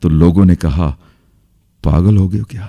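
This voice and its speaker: A man is speaking. His tone is dark and mellow. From India. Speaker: motivational speaker. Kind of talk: motivational seminar speech. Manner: interactive, entertaining, powerful.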